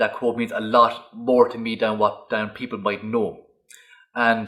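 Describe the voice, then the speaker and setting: A man with a Cork accent speaks at a fairly slow pace. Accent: Irish, Cork. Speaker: stuttering awareness campaigner. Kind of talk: interview.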